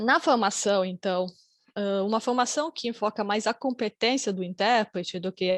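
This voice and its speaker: Recorded dry and close with no echo over a quiet background, a woman of medium pitch speaks at a moderate pace with ordinary pitch variation. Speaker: academic researcher, conference panelist. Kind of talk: conference presentation. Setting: online conference, video call. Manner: hesitant, many fillers.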